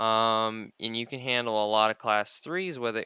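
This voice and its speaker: Bright and sharp in tone, a man speaks at a medium pitch and moderate pace. The sound is dry and close with no echo, and the background is quiet. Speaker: gaming youtuber. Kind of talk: gameplay commentary tutorial. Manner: stumbling over words.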